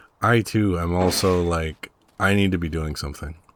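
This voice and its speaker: A man speaks quietly at a fairly slow pace, his pitch very deep and low. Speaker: gaming YouTuber. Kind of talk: casual gameplay commentary. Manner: unscripted, rambling with fillers.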